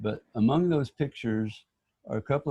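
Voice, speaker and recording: The voice has a dark, mellow tone and is somewhat breathy, at a fairly slow pace. The sound is dry and close, with no echo. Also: man. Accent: American. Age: old. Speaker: local history enthusiast. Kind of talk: casual chat. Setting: video call.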